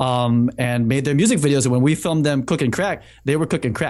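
A man with an unremarkable speaking voice and an American accent, medium pitch, ordinary pitch variation, moderate pace, quiet background. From Massachusetts, Boston area. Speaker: cinematographer and software founder. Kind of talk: casual chat.

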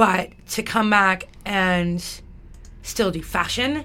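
A woman with a Western Canadian accent speaks amid audible room echo. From Alberta, Canada. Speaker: radio station volunteer coordinator. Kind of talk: interview. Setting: studio.

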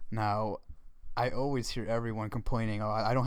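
A man speaks in a medium pitch with monotone, flat intonation. Audible room echo can be heard. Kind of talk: casual faith discussion.

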